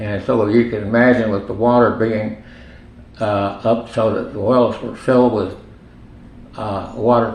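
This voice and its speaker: In a room with audible echo and noticeable background noise, a man at a medium pitch speaks at a moderate pace with fairly even intonation. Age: 90s. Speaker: retired physician. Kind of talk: oral history interview. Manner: halting, many fillers.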